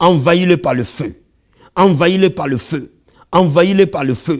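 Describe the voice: Speaking at a moderate pace, a man has a fairly high pitch and ordinary pitch variation.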